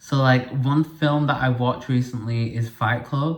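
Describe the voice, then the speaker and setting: A man speaks at a fairly slow pace in a medium pitch, somewhat breathy, with fairly even intonation. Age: 20s. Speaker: podcast host. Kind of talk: casual monologue. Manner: chatty, filler-heavy.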